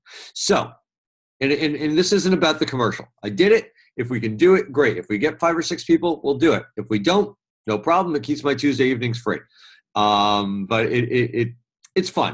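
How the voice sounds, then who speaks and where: Against a quiet background, a man with a New York accent speaks fast-ish at a fairly high pitch, his voice making very wide pitch swings. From New York City. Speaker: media trainer. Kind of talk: webinar presentation. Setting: live webinar.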